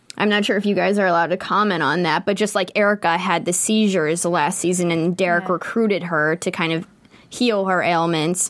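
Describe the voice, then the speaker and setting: In an ordinary speaking voice, a woman with an American accent talks with fairly even intonation and very even loudness. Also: fairly low pitch for a woman, fairly quick pace. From Pittsburgh, US. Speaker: show host. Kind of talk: casual chat, after-show discussion. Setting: studio.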